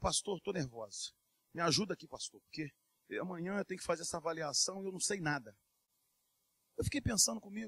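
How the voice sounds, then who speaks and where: A high-pitched man talks with lively intonation in a dry, close sound with no echo. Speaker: preacher. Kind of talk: sermon. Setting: church. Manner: earnest, urgent preaching, with direct appeals to the congregation.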